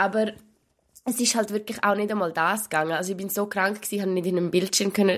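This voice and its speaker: A woman with a Swiss accent talks at a very fast pace in a medium pitch, her intonation fairly even. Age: 20s. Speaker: podcast co-host. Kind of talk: casual chat.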